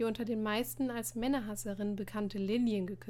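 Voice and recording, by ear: The intonation remains fairly even. The passage is read aloud in a natural voice.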